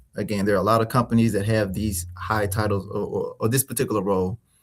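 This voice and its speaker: Recorded very cleanly against a silent background, a man with an American accent speaks at a very fast pace in a somewhat breathy, medium-pitched voice. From Mississippi, US South. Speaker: small business consultant and finance expert. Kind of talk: interview. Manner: many fillers and repetitions.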